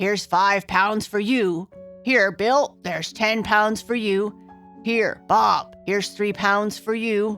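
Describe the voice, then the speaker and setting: Faint music plays in the background as a put-on character voice speaks at a fairly slow pace and a fairly high pitch. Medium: read story.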